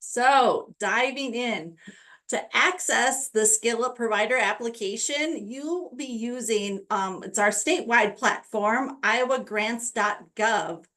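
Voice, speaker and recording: A woman speaks at a very slow pace in a bright, sharp tone. Her fairly high voice shows ordinary pitch variation. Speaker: state education program staff presenting webinar. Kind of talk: webinar tutorial with screen-share walkthrough. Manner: casual with frequent fillers.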